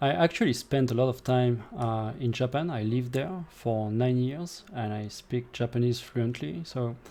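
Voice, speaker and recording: In a French accent, a man speaks at a moderate pace with a dark, mellow tone and a medium pitch. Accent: French accent noticeable in English. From France. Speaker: gaming streamer. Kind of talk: live gameplay commentary. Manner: casual, with hesitations.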